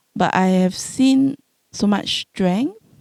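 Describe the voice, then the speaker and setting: A woman with a Singaporean accent, a dark, mellow tone and lively intonation, in dry, close sound with no echo on a very clean recording with a silent background. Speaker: home care doctor, panelist. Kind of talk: panel discussion. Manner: halting, with many repeated words.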